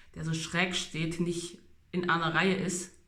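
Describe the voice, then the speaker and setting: Audible room echo surrounds a man who speaks very slowly in a high, bright, sharp voice with monotone, flat intonation. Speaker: vlogger documenting orthodontic treatment. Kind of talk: casual video diary.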